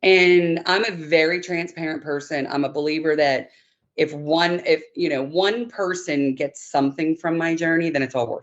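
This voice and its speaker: With an American accent and a plain, everyday voice, a woman speaks at a moderate pace in a fairly low pitch with ordinary pitch variation. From northern US. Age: 50s. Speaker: knee replacement patient. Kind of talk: interview.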